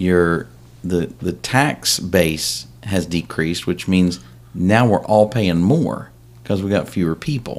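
Lively intonation marks this man's very slow speech. He has a very deep, low pitch and an American accent. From West Virginia, Cabell County. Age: 50s. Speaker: political candidate and realtor. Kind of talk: casual interview.

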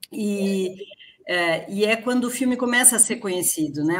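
A woman with ordinary pitch variation, amid noticeable background noise. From Rio Grande do Sul, Brazil. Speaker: film director. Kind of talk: online panel discussion. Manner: halting.

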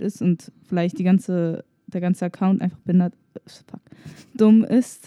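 The tone is dark and mellow, delivered at a fairly slow pace. The sound is dry and close with no echo. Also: woman. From Germany. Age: 20s. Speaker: podcast co-host. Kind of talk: casual chat.

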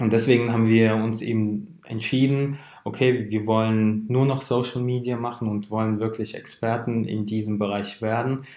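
A dark, mellow voice runs in a monotone, flat line with hardly any pauses, in audible room echo. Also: man, medium pitch for a man, moderate pace. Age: 20s. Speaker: founder of a social media marketing agency. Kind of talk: podcast interview.

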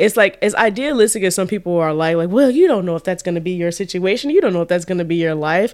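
A woman speaks at a very fast pace with hardly any pauses, her tone animated. Her pitch is medium, with ordinary pitch variation. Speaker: podcast host. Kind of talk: casual chat. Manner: animated, laughs often.

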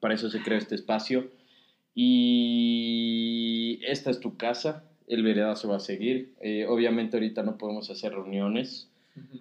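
A man's ordinary speaking voice at medium pitch, fairly slow in pace and fairly even in intonation, against a quiet background. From Ecuador. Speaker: podcast host. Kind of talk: casual chat.

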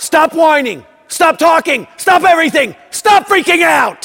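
A man's put-on character voice, raised and shouting at extremely high pitch, fairly slow in pace, with lively intonation, a fairly bright tone and vocal fry

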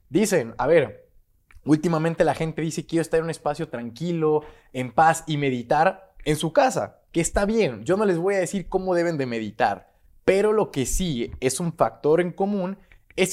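In a very clean recording with a silent background, a man speaks at a fairly slow pace in an animated tone with lively intonation. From Mexico, Guadalajara, Jalisco. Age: 20s. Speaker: YouTuber on leadership and crypto. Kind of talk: solo video monologue.

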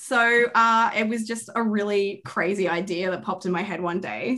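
Her tone is bright and sharp. The woman speaks at a moderate pace with ordinary pitch variation. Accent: Australian. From Australia. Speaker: podcast guest, fan. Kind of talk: casual chat.

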